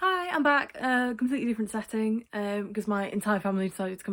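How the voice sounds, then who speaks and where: A woman with a British accent, very fast delivery, fairly high pitch and lively intonation. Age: 20s. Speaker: video creator with Tourette's. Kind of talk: casual vlog talk. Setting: at home, in bedroom. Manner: halting, many fillers.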